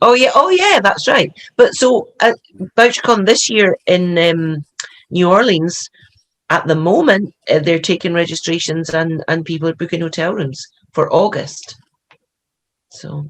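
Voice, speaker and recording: With a fairly low voice and ordinary pitch variation, a woman speaks at a fairly slow pace, leaving long, frequent pauses. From Scotland. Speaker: mystery author. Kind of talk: casual chat.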